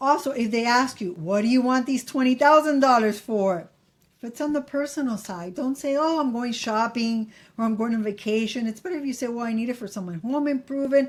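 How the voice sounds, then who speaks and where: With a Miami accent, a woman talks fairly quickly at a high pitch with ordinary pitch variation, recorded very cleanly against a silent background. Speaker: credit advice YouTuber. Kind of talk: casual tutorial to camera. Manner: casual, repeats for emphasis.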